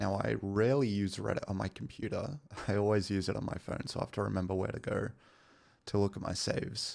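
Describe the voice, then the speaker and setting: A soft-spoken, very fast delivery with an Australian accent and fairly even intonation. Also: man, fairly low pitch for a man. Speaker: gaming streamer. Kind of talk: casual live stream chat. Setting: home stream, partner sleeping nearby.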